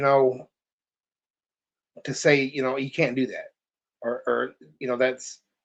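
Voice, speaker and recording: A man with an American accent speaks at a fairly slow pace and a fairly high pitch. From California, then Texas from age 12. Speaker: victim's father and co-host. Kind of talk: live stream chat. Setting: live stream.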